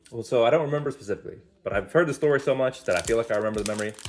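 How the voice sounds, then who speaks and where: A man's animated voice with ordinary pitch variation, music playing in the background. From US, Spanish-speaking home. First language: Spanish. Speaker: card unboxing YouTuber. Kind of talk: casual unboxing commentary. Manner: animated, casual.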